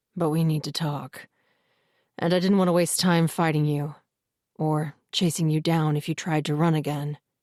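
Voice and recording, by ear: On a very clean recording with a silent background, a rumbling put-on character voice holds a middle pitch with monotone, flat intonation at a moderate pace.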